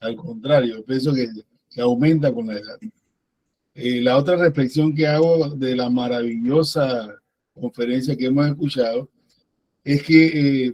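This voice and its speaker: A man with a dark, mellow tone speaks at a fairly slow pace, leaving long, frequent pauses. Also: medium pitch for a man. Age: 60s. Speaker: biologist, former university lecturer, event participant. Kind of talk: discussion remarks at an online academic talk.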